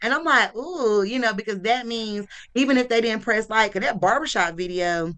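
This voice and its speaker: Animated and fairly quick, a woman with a strong Southern US accent talks in a bright, sharp tone. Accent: strong Southern country. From US South. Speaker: marketing entrepreneur and local influencer. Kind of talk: casual talk.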